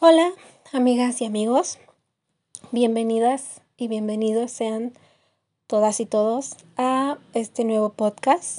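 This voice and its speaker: Speaking at a very slow pace with long, frequent pauses, a woman has a fairly high pitch, ordinary pitch variation and a dark, mellow tone. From Mexico, Querétaro. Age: 20s. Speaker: podcast host, university student. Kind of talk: casual monologue. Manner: halting, many fillers.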